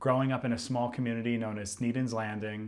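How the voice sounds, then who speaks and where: This man's pitch is in the medium range. He speaks at a very fast pace. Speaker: interviewer, podcast host. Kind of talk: podcast intro.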